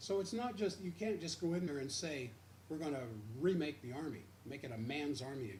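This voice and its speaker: The speaker has an American accent and very wide pitch swings. The pace is fairly quick, and audible room echo surrounds the voice. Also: man, fairly high pitch for a man. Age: 70s. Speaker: radio host. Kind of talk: radio commentary. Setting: radio studio, simulcast stream.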